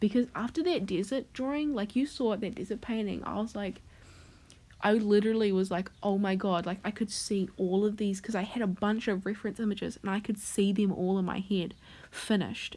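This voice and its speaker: A woman with a dark, mellow tone speaks at a fairly quick pace and medium pitch, her intonation fairly even. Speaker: digital artist. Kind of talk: casual rambling voiceover over speedpaint. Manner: slurred, casual speech with frequent swearing.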